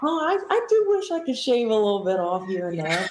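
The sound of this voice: A woman's voice with big swings in pitch, a slightly husky edge and a slightly mellow tone.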